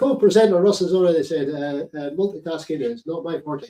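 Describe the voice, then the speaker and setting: A man with a Scottish accent has a high-pitched voice and a dark, mellow tone. His intonation is lively. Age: 60s. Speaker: veteran podcast host. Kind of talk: live commentary. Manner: halting.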